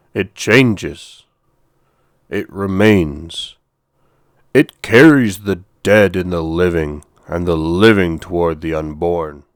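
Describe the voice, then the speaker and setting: A man uses a put-on character voice in a stern tone, very deep and low, with ordinary pitch variation. He goes at a fairly slow pace with long, frequent pauses. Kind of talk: mythic storytelling. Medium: read story. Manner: stern, commanding, slow.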